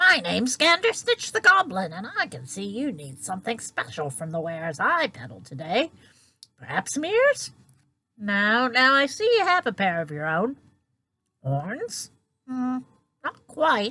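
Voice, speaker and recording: A female-sounding, put-on character voice, fairly high-pitched for a woman, cackles along at a moderate pace. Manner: cackling, welcoming.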